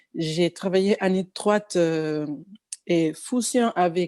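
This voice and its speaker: On a very clean recording with a silent background, a woman with a Spanish accent speaks very slowly in a fairly low voice with a dark, mellow tone and ordinary pitch variation. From Cuba. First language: Spanish (speaking French). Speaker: pianist and singer. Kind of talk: interview. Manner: halting, many fillers and restarts.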